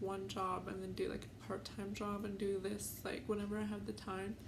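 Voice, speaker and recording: A woman talks at a moderate pace with hardly any pauses. Noticeable background noise and audible room echo fill the recording. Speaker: YouTuber. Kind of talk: casual vlog storytime. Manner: hesitant, many fillers.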